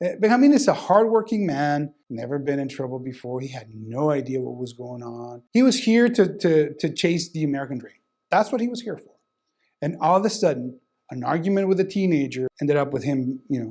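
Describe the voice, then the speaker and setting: A man with a Spanish accent, fairly quick, with a fairly high pitch, very wide pitch swings, a dark, mellow tone, and big swings in loudness. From Sonora, northern Mexico. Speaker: criminal defense lawyer. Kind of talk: testimonial interview.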